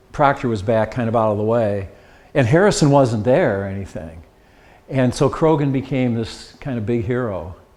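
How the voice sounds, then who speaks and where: A man with an ordinary speaking voice talks at a fairly quick pace. His intonation is lively. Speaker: local history presenter. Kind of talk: slide presentation to a dinner audience.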